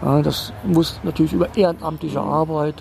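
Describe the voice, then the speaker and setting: Fairly high male speech amid noticeable background noise. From Rhineland, Koblenz. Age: 60s. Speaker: resident of a trailer community. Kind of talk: casual interview.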